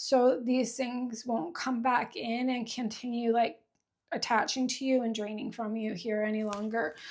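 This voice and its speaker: This woman's voice is fairly high, moving at a fairly slow speed with ordinary pitch variation. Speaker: spiritual tarot reader. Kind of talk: tarot reading. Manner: halting.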